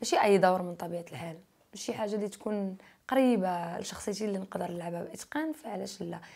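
A woman talks at a fairly quick pace and a medium pitch, with ordinary pitch variation. Her tone is dark and mellow, and the background is quiet. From Morocco. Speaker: YouTuber; interviewee. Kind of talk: interview. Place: studio. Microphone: lapel.

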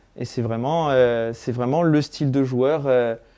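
A man's medium-pitched voice, dark and mellow, at a fairly slow pace with fairly even intonation over a quiet background. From Corsica. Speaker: football supporter; football fan interviewing a player. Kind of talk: casual interview. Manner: hesitant, many fillers. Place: home room. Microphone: lapel.

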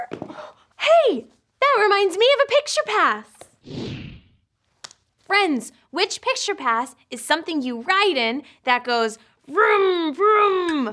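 A woman's raised, projected voice, bright and sharp in tone, with very wide pitch swings, a very slow pace and long, frequent pauses over a quiet background. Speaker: children's show host. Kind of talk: children's program presenting. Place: studio.

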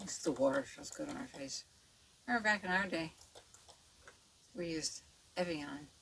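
Mumbling at a moderate pace with long, frequent pauses, a woman with a fairly low pitch makes very wide pitch swings over light background noise. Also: big swings in loudness. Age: 70s. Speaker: makeup artist; makeup vlogger. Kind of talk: tutorial. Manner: casual, chatty. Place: home room. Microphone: studio mic.

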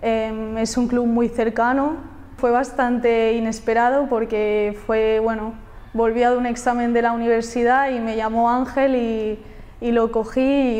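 The voice has a dark, mellow tone and monotone, flat intonation. It moves at a fairly slow pace. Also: woman. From Catalonia, Spain (near Barcelona). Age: 20s. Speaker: footballer. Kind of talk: interview answers. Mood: friendly, upbeat. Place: studio. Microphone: lapel.

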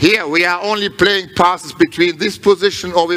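The pace of the man's speech is moderate. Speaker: handball coach. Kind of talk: coaching instruction. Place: hall. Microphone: headset.

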